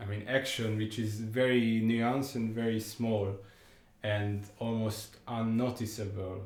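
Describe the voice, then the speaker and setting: A man with a Hungarian accent speaks at a medium pitch in a flat monotone. Room echo can be heard. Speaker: music commentator. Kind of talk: music analysis talk. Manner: halting, with fillers and repetitions.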